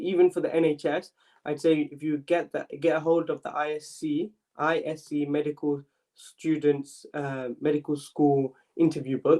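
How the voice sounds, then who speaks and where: In a London accent, a man with a fairly high pitch speaks with monotone, flat intonation. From London, East London. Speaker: medical student mentor. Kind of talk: live Q&A stream. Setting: live stream. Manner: fast; casual, filler-heavy.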